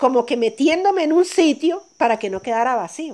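A woman is speaking here. Her pace is moderate. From Colombia, Sierra Nevada de Santa Marta. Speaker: coffee farmer. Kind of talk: testimony. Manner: laughs easily and loudly.

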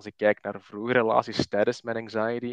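A man speaks at a fairly low pitch in monotone, flat intonation. The sound is dry and close with no echo, over a quiet background. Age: 20s. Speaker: podcaster talking about his anxiety. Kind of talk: casual chat. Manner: halting, many fillers.

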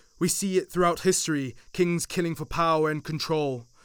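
With an unremarkable speaking voice, a man talks fairly quickly at a fairly high pitch with ordinary pitch variation, on a very clean recording with a silent background. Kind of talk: dramatic monologue. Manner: grave, brooding, delivered with contempt and rising intensity; declamatory, theatrical, with a messianic tone.

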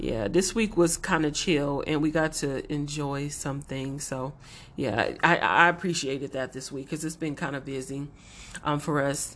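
With an American accent, a woman speaks in a very deep, low pitch. Her pace is moderate and her pitch variation ordinary. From Los Angeles. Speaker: podcast co-host. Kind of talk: casual chat.

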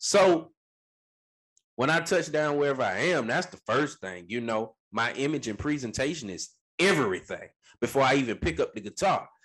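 A man's fairly high voice with an American accent, vocal fry, very wide pitch swings and a moderate pace. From Florida. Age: 20s. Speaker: musician. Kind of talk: interview.

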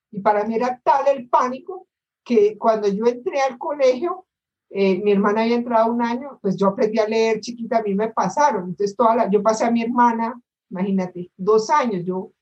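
Here a woman has a normal speaking voice, moving at a moderate pace. Her pitch varies in an ordinary way. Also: fairly high pitch for a woman. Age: 60s. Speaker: course participant. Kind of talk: audience question.

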